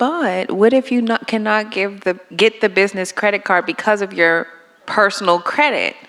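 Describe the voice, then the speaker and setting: Woman at a moderate pace with ordinary pitch variation, over noticeable background noise. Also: medium pitch for a woman. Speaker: workshop attendee. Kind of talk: audience question. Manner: loud.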